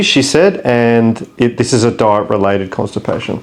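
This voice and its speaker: A man with an Australian accent keeps a moderate pace as he speaks. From Australia, Brisbane. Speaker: expat vlogger. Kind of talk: tutorial.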